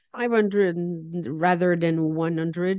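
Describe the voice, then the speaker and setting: Speaking with a French Canadian accent, a woman at medium pitch uses a dark, mellow tone and fairly even intonation, the sound dry and close with no echo. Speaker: charity national director. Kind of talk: interview.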